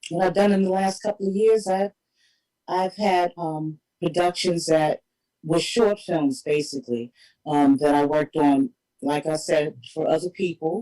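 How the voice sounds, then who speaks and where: A New York accent at a fairly slow pace. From Harlem, New York City. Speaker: independent filmmaker. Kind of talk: interview.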